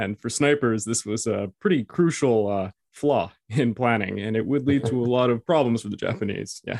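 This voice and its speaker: With a normal speaking voice at medium pitch and ordinary pitch variation, the man sounds dry and close, with no echo. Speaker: podcast host. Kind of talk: interview, casual chat.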